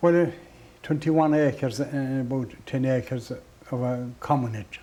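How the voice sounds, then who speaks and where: A man talks fairly slowly at a medium pitch. His tone is dark and mellow, with ordinary pitch variation. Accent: west of Ireland. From Ireland, County Clare. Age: 70s. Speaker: traditional musician. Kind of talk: interview. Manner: halting.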